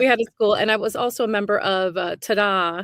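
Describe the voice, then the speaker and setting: In a plain, everyday voice with an American accent, a woman speaks at a moderate pace with fairly even intonation on a very clean recording with a silent background. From New York, Brooklyn. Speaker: stage actor. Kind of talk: casual chat.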